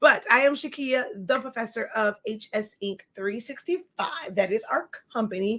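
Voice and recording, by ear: Using a put-on character voice, a woman speaks at a fairly high pitch and a moderate pace, hoarse and raspy, with lively intonation and hardly any pauses.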